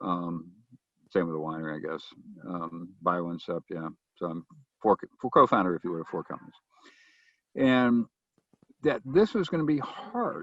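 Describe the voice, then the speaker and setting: At a moderate pace, a man speaks with big swings in loudness and long, frequent pauses, in a dry, close sound with no echo. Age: 60s. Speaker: winery owner and entrepreneur. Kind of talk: webinar interview. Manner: halting.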